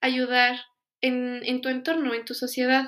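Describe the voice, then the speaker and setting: A woman speaks in a high voice. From Mexico, Pachuca. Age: 20s. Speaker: foundation volunteer. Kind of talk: interview testimony.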